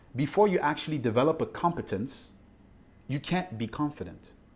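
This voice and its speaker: With vocal fry and a fairly high pitch, a man is heard on a very clean recording with a silent background. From Ivory Coast. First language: French. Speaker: mindset coach. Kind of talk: interview.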